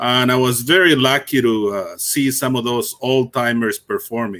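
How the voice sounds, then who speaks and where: Speaking at a fairly slow pace with a Spanish accent, a man uses a medium pitch, ordinary pitch variation and a bright, sharp tone. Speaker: conference emcee. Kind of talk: speaker introduction.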